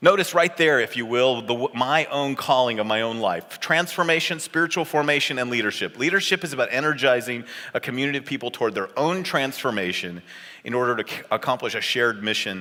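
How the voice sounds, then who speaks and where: A man with a Californian accent, medium-pitched, bright and sharp in tone, at a fairly quick pace with very wide pitch swings. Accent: General American (Californian). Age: 50s. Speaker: pastor and seminary professor. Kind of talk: conference talk. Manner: fast.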